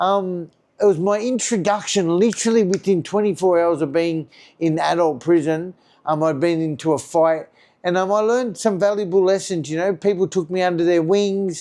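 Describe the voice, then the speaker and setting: With a strong Australian accent, a man speaks at a high pitch in a dark, mellow tone with ordinary pitch variation. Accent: broad Australian. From Australia, Sydney western suburbs. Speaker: recovered addict sharing his story. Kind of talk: personal storytelling monologue. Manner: fast; casual, many fillers.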